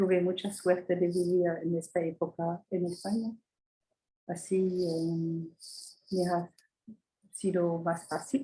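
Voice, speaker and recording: A woman's fairly low, somewhat breathy voice with a dark, mellow tone, monotone and flat, at a very slow pace with long, frequent pauses. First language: not Spanish (speaking Spanish). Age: 80s+. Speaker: astrologer. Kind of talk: interview. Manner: halting.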